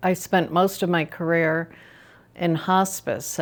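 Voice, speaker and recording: With a medium pitch and monotone, flat intonation, a woman speaks on a very clean recording with a silent background. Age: 70s. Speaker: retired nurse, lifestyle vlogger. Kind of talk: personal story vlog. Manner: conversational, slightly halting.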